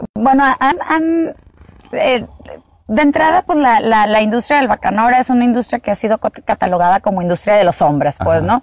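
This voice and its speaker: A woman at a fairly high pitch talks at a moderate pace with very wide pitch swings and very even loudness, in a dry, close sound with no echo. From Sonora, Mexico. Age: 40s. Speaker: agave producer and entrepreneur. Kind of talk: interview. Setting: outdoors in an agave field.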